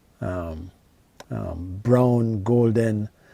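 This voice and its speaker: A man speaks with a Jamaican accent at a medium pitch. His tone is dark and mellow, and his intonation is lively. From rural Jamaica. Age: 50s. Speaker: YouTuber reminiscing on childhood. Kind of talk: casual storytelling monologue. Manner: halting, many fillers and repetitions.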